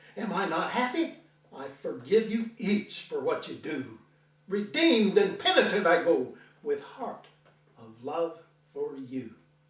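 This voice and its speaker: Against noticeable background noise, a man speaks at a fairly slow pace with big swings in loudness. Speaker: veterinarian. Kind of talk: poetry reading.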